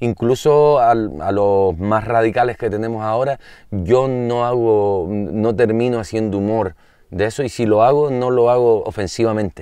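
Over a quiet background, a man with a dark, mellow tone speaks fairly slowly with ordinary pitch variation in a dry sound with no echo. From Canary Islands. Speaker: singer-songwriter; interview guest. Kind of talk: casual chat. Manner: halting. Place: open country.

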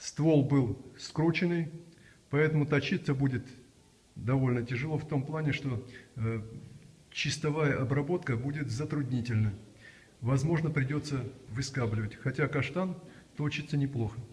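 At a moderate pace and with ordinary pitch variation, a man speaks in a somewhat breathy voice, leaving long, frequent pauses. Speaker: woodturning instructor. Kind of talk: tutorial. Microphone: camera far.

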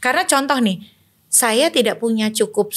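A woman talks at a moderate pace, the background around her quiet. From Indonesia, Banten; Indonesia. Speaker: election and democracy activist; election guest. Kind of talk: political discussion. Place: studio. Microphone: studio mic.

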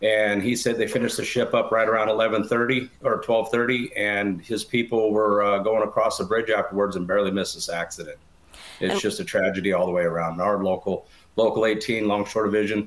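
Fairly quick and fairly low-pitched, a man speaks. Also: fairly even intonation. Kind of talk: interview answer. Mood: serious, somber. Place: home room. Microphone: video call.

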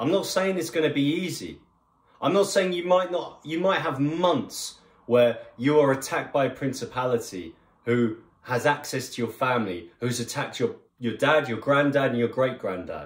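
Somewhat breathy and with lively intonation, a man talks at a moderate pace in a room with audible echo. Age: 30s. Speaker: online preacher. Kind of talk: sermon. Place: home room. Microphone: phone near.

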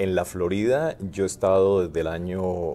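A man with a very deep, low pitch and a dark, mellow tone, fairly even intonation and a moderate pace, over light background noise. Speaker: physician; interviewee. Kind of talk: interview. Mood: relaxed, reflective. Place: meeting room. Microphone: lapel.

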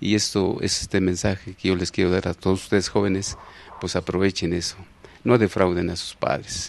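A man with a Mexico City accent talks at a fairly low pitch and a moderate pace. The sound is dry with no echo. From Mexico City, Iztapalapa. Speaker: elderly local resident sharing memories, former farmer; interview guest. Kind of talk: TV interview, oral history. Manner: halting, many fillers and repetitions. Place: studio. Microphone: handheld.

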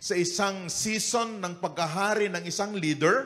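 A man's voice with ordinary pitch variation. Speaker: lead pastor. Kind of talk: sermon. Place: church. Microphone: handheld.

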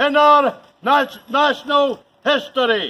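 A man with an extremely high pitch uses a raised, projected voice with a bright, sharp tone. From Chadderton, England. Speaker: town crier. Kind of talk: town crier proclamation. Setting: outdoors, shopping precinct. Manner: loud, formal, projected. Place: street. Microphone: camera far.

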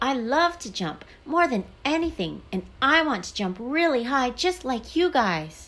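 Putting on a character voice, a woman speaks high in pitch with big pitch swings and a fairly bright tone. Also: fairly slow pace.

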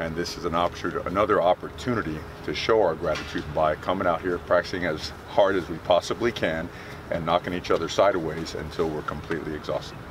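With an American accent, a man talks at a very fast pace, the sound dry with no echo but with noticeable background noise. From Miami, Florida. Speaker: college football head coach. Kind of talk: press conference. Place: open country. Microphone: handheld.

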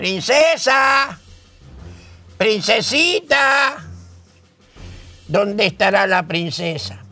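Using a cartoonish character voice pitched high, a man speaks at a very slow pace with long, frequent pauses while faint music plays in the background. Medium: puppet.

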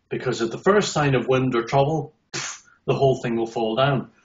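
A man with an Irish accent speaks at a fairly slow pace with a fairly high pitch. His voice is somewhat breathy, against a quiet background. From Northern Ireland. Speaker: accessibility consultant. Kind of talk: interview answer. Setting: video call. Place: home room. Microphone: video call.

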